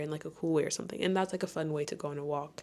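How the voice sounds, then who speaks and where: A woman's very deep, low voice on a very clean recording with a silent background. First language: French. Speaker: lifestyle vlogger, trainee yoga teacher. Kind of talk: casual chat. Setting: bedroom. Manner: casual, filler-heavy.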